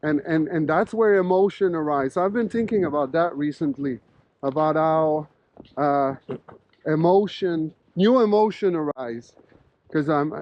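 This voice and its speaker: A man talks at a moderate pace with a fairly high pitch and ordinary pitch variation. He leaves long, frequent pauses. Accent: Quebec. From Quebec. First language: French. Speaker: professor. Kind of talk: casual interview conversation while walking. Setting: outdoors walking in snowstorm. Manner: animated.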